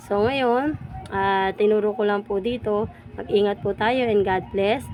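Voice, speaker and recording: Over noticeable background noise, a woman talks at a fairly slow pace, her medium pitch showing ordinary variation. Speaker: vlogger, rag-making worker. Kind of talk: tutorial. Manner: loud; halting.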